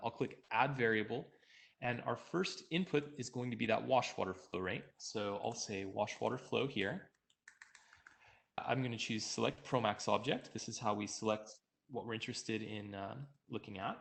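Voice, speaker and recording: With a normal speaking voice, a man talks at a moderate pace in medium pitch with ordinary pitch variation. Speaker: software engineer presenting a webinar. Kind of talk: software tutorial webinar. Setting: online webinar.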